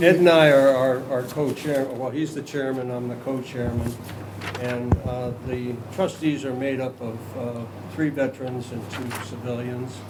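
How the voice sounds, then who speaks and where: A man's medium-pitched voice at a fairly slow pace, fairly even in intonation, with audible room echo and noticeable background noise. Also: big swings in loudness. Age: 80s+. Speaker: veterans memorial trustee co-chairman. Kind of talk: public meeting remarks. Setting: town hall board chamber. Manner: halting, many fillers.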